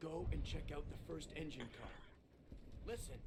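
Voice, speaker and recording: Over clear background noise, a man puts on a character voice and speaks at a moderate pace. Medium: video game. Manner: curt, blunt.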